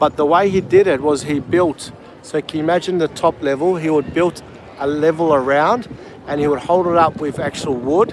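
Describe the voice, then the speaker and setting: With an Australian accent, a man speaks at a moderate pace in a fairly high pitch, with ordinary pitch variation and noticeable background noise behind him. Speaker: travel livestreamer. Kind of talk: live walking tour commentary. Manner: calm.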